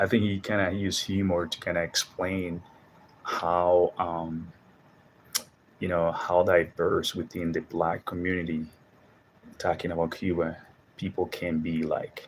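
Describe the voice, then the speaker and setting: Speaking fairly slowly with a Spanish accent, a man uses a very deep, low pitch in a flat monotone, leaving long, frequent pauses. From Dominican Republic. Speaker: Spanish teacher and video host. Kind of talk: casual monologue vlog. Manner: casual, halting with fillers.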